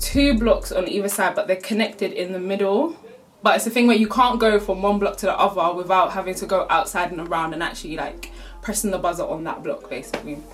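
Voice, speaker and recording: A woman's medium-pitched voice, animated and very fast, with lively intonation over noticeable background noise. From South London. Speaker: YouTuber. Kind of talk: storytime vlog. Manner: animated, casual.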